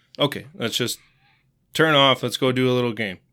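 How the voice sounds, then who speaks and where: A man with a Wisconsin accent talks at a moderate pace in a bright, sharp tone. The recording is very clean, with a silent background. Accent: Upper Midwest (Wisconsin). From central Wisconsin (Marshfield). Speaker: youth hockey coach. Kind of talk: interview.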